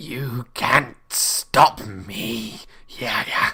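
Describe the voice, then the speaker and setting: A man in a put-on character voice sounds raspy and hissing at a medium pitch. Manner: hissing, menacing.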